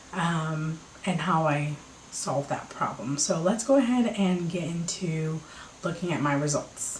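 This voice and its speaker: Quietly and at a fairly slow pace, a woman speaks with a fairly low pitch and ordinary pitch variation. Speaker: vlogger. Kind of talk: casual chat. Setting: at home. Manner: quiet, low voice.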